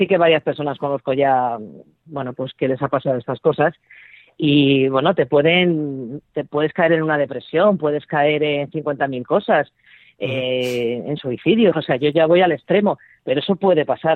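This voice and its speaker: A woman speaks at a moderate pace with ordinary pitch variation. Her pitch is very deep and low. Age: 50s. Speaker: entrepreneur and mother of twelve. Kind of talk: interview.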